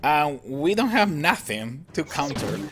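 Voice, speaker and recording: Lively intonation and a fairly high pitch mark this man's speech, heard through noticeable background noise. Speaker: gaming youtuber. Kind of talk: gameplay commentary. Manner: animated.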